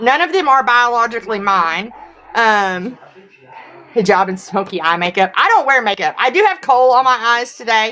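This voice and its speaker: A woman with a Southern US accent speaks at a moderate pace with a fairly high pitch. Her tone is bright and sharp, with very wide pitch swings. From US South, Tennessee. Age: 40s. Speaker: livestreamer. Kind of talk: live stream Q&A. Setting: livestream.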